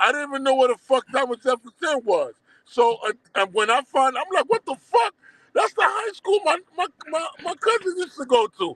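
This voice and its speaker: A man with a Haitian accent talks at a moderate pace. His pitch is extremely high, with very wide swings. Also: dry, close sound with no echo. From Brooklyn, New York (Crown Heights), born in Haiti. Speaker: documentary producer. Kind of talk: casual interview. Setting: live stream.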